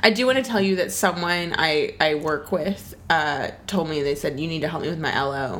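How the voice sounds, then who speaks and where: The speaker keeps a moderate pace with lively intonation and hardly any pauses. Noticeable background noise runs underneath. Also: woman, fairly low pitch for a woman. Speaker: podcast co-host. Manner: animated, humorous.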